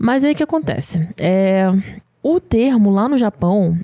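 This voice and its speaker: A woman speaks at a fairly slow pace with a dark, mellow tone. The sound is dry and close, with no echo. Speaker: podcast co-host. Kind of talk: casual chat.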